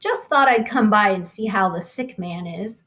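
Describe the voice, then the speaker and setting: A woman's put-on character voice, raspy, medium in pitch, at a moderate pace. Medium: read story. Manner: easy, self-assured.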